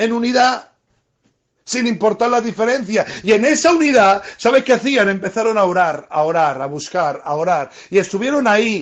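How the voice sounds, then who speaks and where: A man speaks at a moderate pace with a high pitch and lively intonation. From Spain, Murcia. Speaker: preacher. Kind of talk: sermon.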